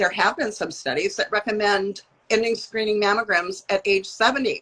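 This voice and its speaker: Her tone is bright and sharp. The woman speaks at a medium pitch and a fairly quick pace. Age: 70s. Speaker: mammography educator. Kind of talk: casual chat. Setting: video call.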